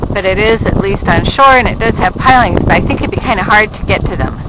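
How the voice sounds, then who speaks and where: Loud background noise accompanies a moderate pace, with a dry sound that has no echo. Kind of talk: casual travel narration. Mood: relaxed, curious. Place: boat. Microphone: phone near.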